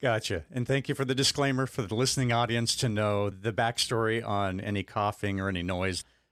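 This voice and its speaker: With an American accent, a man in a plain, everyday voice speaks at a medium pitch and a fairly quick pace with hardly any pauses, ordinary pitch variation and very even loudness, in a very clean recording with a silent background. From Arizona. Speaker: podcast host. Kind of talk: interview.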